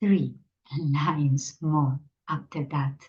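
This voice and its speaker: In a Spanish accent, a woman speaks at a very slow pace. Her voice is somewhat breathy, with a dark, mellow tone. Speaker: meditation teacher. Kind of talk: spiritual talk.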